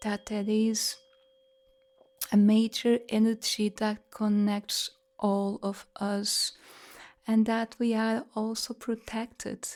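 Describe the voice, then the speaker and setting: Very slowly, a woman speaks at a fairly high pitch with long, frequent pauses. Her intonation is monotone and flat. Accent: Portuguese. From Portugal, Lisbon. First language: Portuguese. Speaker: sound healer. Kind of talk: guided meditation. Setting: live online group session. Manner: calm.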